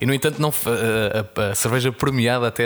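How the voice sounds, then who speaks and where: A man speaks with fairly even intonation. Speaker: podcast host, beer communicator. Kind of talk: casual interview. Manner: hesitant, frequent word repetitions.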